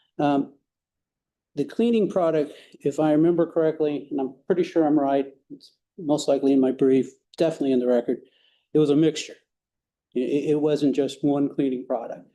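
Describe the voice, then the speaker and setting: A man's fairly high-pitched voice with a dark, mellow tone, at a fairly quick pace with ordinary pitch variation and long, frequent pauses. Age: 60s. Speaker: attorney. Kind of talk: appellate oral argument. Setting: courtroom. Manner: halting, many fillers.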